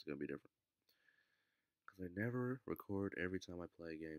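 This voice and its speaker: With a very deep, low pitch, a man speaks at a very fast pace and with lively intonation, leaving long, frequent pauses, in a dry, close sound with no echo. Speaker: gaming youtuber. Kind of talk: gameplay commentary. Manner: casual, rambling.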